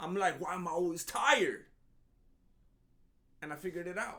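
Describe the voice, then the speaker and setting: Animated and raised, a man projects his voice at a high pitch and fairly quick pace, in a bright, sharp tone. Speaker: MMA commentary youtuber. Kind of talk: comedic commentary monologue.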